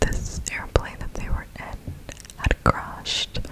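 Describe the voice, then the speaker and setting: A soft-spoken woman whispers. Loud background noise runs behind her. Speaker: ASMR creator. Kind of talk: soft-spoken storytelling narration. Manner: soft ASMR whisper, close to mic. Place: home room. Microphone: studio mic.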